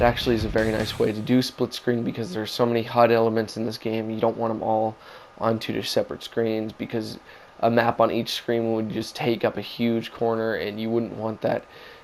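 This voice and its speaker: Noticeable background noise surrounds a man whose medium-pitched delivery stays monotone and flat. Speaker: gaming channel host. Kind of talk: game review narration.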